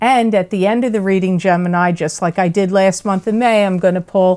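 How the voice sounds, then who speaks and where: The intonation stays fairly even as a woman speaks. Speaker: tarot reader. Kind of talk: casual vlog chat. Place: home room.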